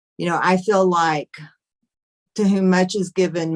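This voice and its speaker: With a normal speaking voice, a woman talks fairly slowly at fairly low pitch, the sound dry and close with no echo. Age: 60s. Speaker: author. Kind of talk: casual chat.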